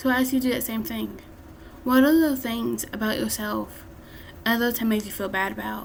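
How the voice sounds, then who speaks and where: The speech moves at a moderate pace. Noticeable background noise and audible room echo fill the recording. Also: woman. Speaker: self-help vlogger. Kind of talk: motivational talk.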